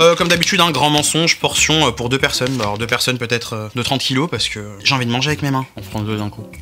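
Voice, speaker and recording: Against noticeable background noise, a man with a medium pitch and an animated tone speaks at a very fast pace with lively intonation. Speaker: YouTuber food tester. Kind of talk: casual food review vlog.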